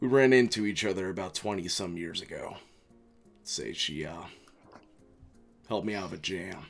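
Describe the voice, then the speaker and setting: With faint music behind him, a man does a put-on character voice, pitched fairly low and broken by long, frequent pauses. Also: moderate pace. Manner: calm, cryptic, quietly menacing.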